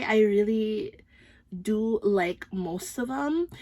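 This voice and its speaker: Very slowly, a woman with a slight Filipino accent speaks at a fairly high pitch. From Philippines. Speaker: beauty and fragrance YouTuber. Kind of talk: product review vlog. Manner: casual, hesitant with frequent ums.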